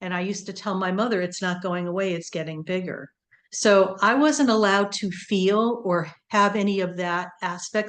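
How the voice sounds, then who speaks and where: Against a quiet background, a woman with an American accent talks at a moderate pace and medium pitch in an ordinary speaking voice. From US, Connecticut. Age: 60s. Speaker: nurse practitioner. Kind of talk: interview.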